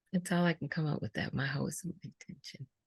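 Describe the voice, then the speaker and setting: A woman's voice with vocal fry comes through dry and close, without echo. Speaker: mindfulness teacher. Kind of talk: interview. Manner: halting.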